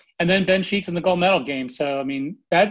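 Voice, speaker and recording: Against a quiet background, a man with a North Carolina accent speaks with ordinary pitch variation. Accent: Southern US, North Carolina. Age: 40s. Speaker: baseball scout. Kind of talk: casual interview. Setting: phone call.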